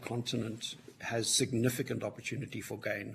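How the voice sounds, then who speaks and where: A man with a Southern African accent talks at a moderate pace in a medium pitch, his voice somewhat breathy. His intonation stays monotone and flat. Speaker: witness at a parliamentary inquiry, mining sector. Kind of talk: committee hearing testimony. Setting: public hearing.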